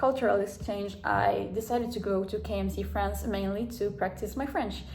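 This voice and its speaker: A woman speaks moderately paced, and audible room echo surrounds her voice. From South America. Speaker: vlogger. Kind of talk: casual vlog talk. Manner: halting, many fillers.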